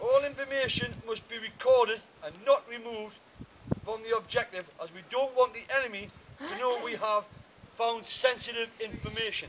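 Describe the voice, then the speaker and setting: With light background noise behind him, a man talks at a moderate pace with big swings in loudness. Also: ordinary pitch variation. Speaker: military instructor. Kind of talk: briefing orders. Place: open country. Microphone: camera far.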